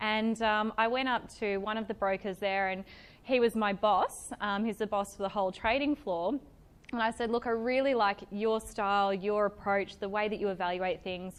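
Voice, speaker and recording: This woman speaks with an Australian accent. Her intonation stays fairly even. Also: medium pitch for a woman, moderate pace. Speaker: event speaker, stockbroking employee. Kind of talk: talk to a live audience. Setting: evening networking event with audience. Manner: loud; casual, many fillers.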